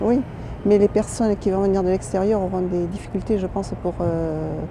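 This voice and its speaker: A moderate pace over noticeable background noise. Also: woman. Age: 60s. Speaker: local resident. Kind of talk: street interview. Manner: hesitant, many fillers.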